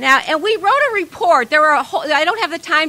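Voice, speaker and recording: Through noticeable background noise, a woman with an American accent speaks in a raised, projected voice at a very fast pace with ordinary pitch variation. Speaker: activist. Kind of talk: speech at a protest rally. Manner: animated.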